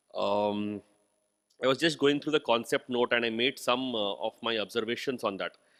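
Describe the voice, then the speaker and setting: A man with an Indian accent at a moderate pace and ordinary pitch variation, in a very clean recording with a silent background and a dry, close sound with no echo. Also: medium pitch for a man. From India, Hindi-speaking. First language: Hindi. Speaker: university vice chancellor. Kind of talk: inaugural speech. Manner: halting, with frequent fillers.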